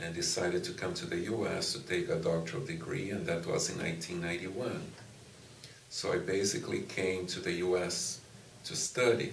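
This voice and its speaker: A man talks at a fairly quick pace, with audible room echo and noticeable background noise around him. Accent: Brazilian Portuguese. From Brazil. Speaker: music professor and conductor. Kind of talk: interview.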